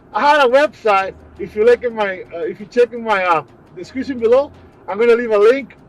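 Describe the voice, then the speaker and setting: Music plays behind a man talking at a moderate pace. His pitch is extremely high. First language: Portuguese. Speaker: prepper vlogger. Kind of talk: casual vlog monologue. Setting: in a car, on the way to the supermarket.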